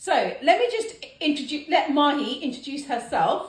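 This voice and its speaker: A woman with a British accent speaks in an animated tone with very wide pitch swings, against audible room echo and noticeable background noise. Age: 40s. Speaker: podcast host. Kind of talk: casual chat.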